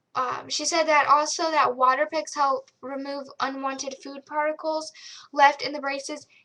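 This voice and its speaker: At a moderate pace, a raised, projected voice with a bright, sharp tone and monotone, flat intonation swings widely in loudness. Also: woman, high pitch for a woman. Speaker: video blogger. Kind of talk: casual vlog tutorial. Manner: casual, filler-heavy.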